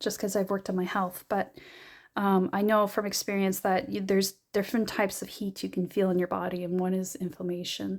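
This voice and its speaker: Here a woman speaks at a medium pitch. Her pace is fairly quick. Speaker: tarot reader. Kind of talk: tarot reading monologue. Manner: hesitant, many fillers.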